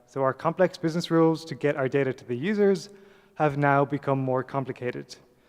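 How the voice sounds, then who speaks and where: Someone with an Irish accent talks at a fairly quick pace. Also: man, fairly high pitch for a man, ordinary pitch variation. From Ireland. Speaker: software developer, conference speaker. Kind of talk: conference talk. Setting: stage with audience.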